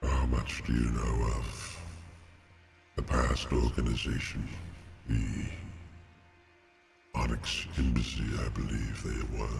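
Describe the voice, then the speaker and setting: A man's put-on character voice, very deep and low, in a monotone, flat intonation at a fairly slow pace. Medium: actual play. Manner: slow, solemn, formal.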